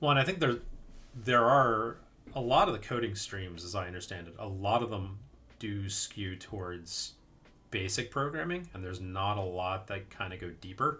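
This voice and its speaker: Big swings in loudness mark a man's fairly low-pitched, bright, sharp voice with a US Northeastern accent. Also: ordinary pitch variation, moderate pace. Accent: US Northeast. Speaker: indie game developer streaming live coding. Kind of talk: live coding stream, thinking aloud. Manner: casual, hesitant with fillers.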